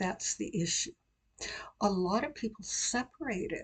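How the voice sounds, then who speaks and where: A woman speaks in a somewhat breathy voice. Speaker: accent coach, pronunciation teacher. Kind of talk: pronunciation tutorial, instructional talk to camera.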